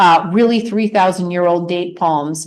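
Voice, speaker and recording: Amid audible room echo, a woman speaks at a moderate pace with a fairly low pitch. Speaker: author and radio host giving a talk. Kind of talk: lecture. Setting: presentation to an audience.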